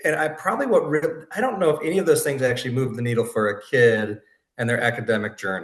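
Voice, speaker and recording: This man has a medium pitch and a somewhat breathy voice. He talks at a fairly quick pace. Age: 40s. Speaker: podcast host. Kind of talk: casual chat.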